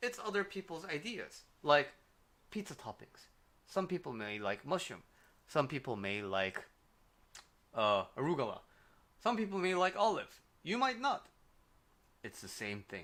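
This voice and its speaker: A man with a strong Korean accent, his tone bright and sharp, at a moderate pace with very wide pitch swings, big swings in loudness and long, frequent pauses. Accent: Korean, thick. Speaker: life coach. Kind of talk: livestream advice talk. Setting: livestream. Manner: casual, with fillers.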